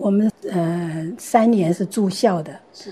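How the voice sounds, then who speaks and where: A woman's somewhat breathy, dark, mellow voice with ordinary pitch variation. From Taiwan, Gangshan (Kaohsiung). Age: 70s. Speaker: retiree and senior learner. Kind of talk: interview storytelling.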